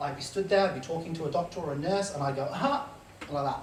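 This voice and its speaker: A fairly high-pitched man rushes along at a very fast pace with ordinary pitch variation, noticeable background noise behind him. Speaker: Tourette syndrome advocate. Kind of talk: live storytelling on stage. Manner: vocal tics interrupt speech.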